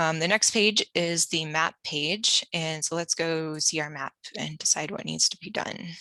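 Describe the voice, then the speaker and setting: The tone is bright and sharp, with a dry, close sound and no echo. The pace is fairly slow, with hardly any pauses. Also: woman, fairly low pitch for a woman, fairly even intonation. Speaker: workshop instructor. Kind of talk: tutorial.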